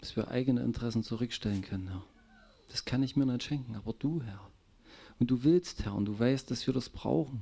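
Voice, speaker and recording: The voice has a dark, mellow tone and ordinary pitch variation. It moves at a fairly quick pace. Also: man, medium pitch for a man. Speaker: congregation member praying. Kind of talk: fervent prayer. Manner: fervent, emotional, repeating 'Herr' with laughs.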